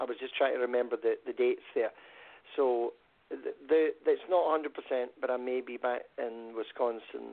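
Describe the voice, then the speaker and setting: In a Scottish accent, a man speaks at a moderate pace. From Scotland. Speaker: musician. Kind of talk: casual interview. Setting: phone call.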